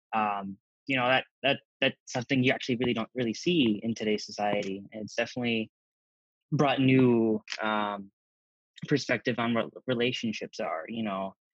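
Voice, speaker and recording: Speaking at a moderate pace with an American accent, a man uses an unremarkable speaking voice at medium pitch with ordinary pitch variation, recorded dry and close with no echo. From US Midwest (rural Wisconsin and Minnesota). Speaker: pharmacy technician. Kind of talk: interview.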